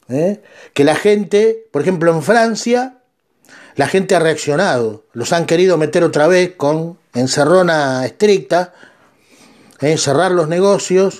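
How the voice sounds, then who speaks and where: A man's high voice in a Rioplatense accent, fairly slow, with ordinary pitch variation. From Argentina. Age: 50s. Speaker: podcast host. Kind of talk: monologue commentary.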